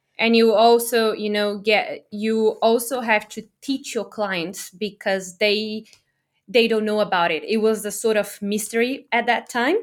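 A woman with a Portuguese accent speaks at a fairly high pitch with fairly even intonation. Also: fairly slow pace, very clean recording, silent background. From Brazil. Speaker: online business owner. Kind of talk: interview.

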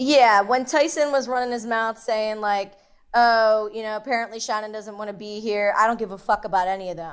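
A woman's fairly high, animated voice in a Philadelphia accent, fairly quick, with big swings in loudness and ordinary pitch variation, on a very clean recording with a silent background. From Philadelphia, US. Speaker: reality TV contestant. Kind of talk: interview.

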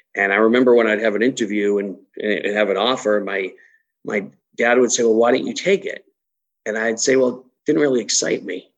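A man talks fairly quickly with fairly even intonation over a quiet background. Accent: slight Massachusetts. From Massachusetts, US. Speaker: chamber of commerce executive. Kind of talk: interview chat.

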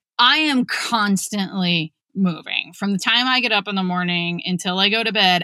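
Hardly pausing, a woman talks at a moderate pace in an unremarkable speaking voice, with medium pitch and ordinary pitch variation. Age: 40s. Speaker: podcast host and author. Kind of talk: casual chat.

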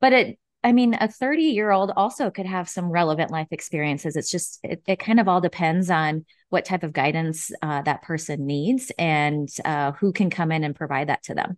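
In an American accent, the voice moves at a moderate pace with lively intonation, sounding dry and close with no echo against a quiet background. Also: woman, fairly low pitch for a woman. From US Midwest, Nebraska. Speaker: fractional marketing executive. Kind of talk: interview.

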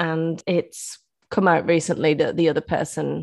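A woman with an English accent speaks at a fairly low pitch with vocal fry and monotone, flat intonation. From England. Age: 30s. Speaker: bereaved mother. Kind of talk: interview.

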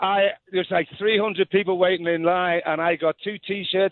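Fairly even intonation in an English accent at a fairly quick pace. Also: man. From England. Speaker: radio caller. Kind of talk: casual chat.

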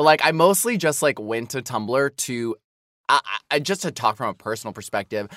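The tone is bright and sharp, with an American accent. The recording is very clean, its background silent. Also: man. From US Midwest. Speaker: podcast co-host. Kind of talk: casual chat. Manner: halting, self-correcting.

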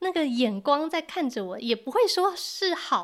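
In a very clean recording with a silent background, a woman with a Taiwanese accent speaks at a moderate pace, her extremely high pitch swinging very widely. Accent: Taiwanese Mandarin. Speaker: Mandarin teacher. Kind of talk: interview.

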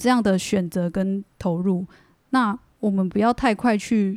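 A woman speaks at a medium pitch with a dark, mellow tone. The sound is dry and close, with no echo. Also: very clean recording, silent background. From Taiwan, Taichung area, Bunun family. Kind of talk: casual interview chat.

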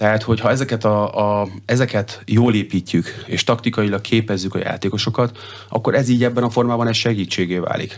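A man talks at a fairly quick pace with fairly even intonation and very even loudness. Noticeable background noise runs under his voice. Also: medium pitch for a man. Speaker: water polo head coach. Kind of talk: radio interview. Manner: halting, many fillers and repetitions.

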